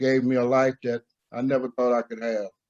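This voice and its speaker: A man's medium-pitched voice at a moderate pace, with a dry, close sound and no echo. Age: 70s. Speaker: recovery meeting member sharing. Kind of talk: testimony.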